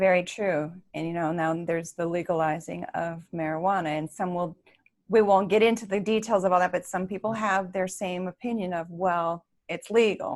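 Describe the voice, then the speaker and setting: Fairly even intonation at a moderate speed in an unremarkable speaking voice. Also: woman, medium pitch for a woman. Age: 60s. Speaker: interview show host. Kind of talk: interview.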